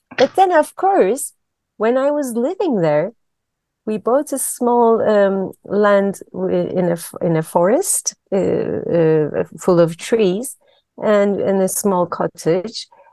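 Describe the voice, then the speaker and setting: A woman with a Turkish accent speaks very slowly at a medium pitch, her tone dark and mellow. Her intonation is lively, and the sound is dry and close with no echo. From Turkey. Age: 50s. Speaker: systemic therapist. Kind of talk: interview. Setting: video call.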